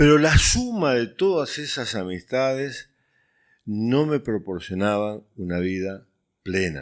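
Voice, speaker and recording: The recording is very clean, with a silent background. A man at medium pitch speaks very slowly, his pitch swinging very widely. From Uruguay. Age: 60s. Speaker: youth ministry director. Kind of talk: testimony.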